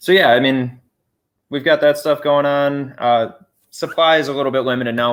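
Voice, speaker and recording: Fairly even in intonation, a man speaks at a fairly quick pace in a plain, everyday voice. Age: 20s. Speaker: homesteader. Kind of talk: casual chat. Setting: livestream.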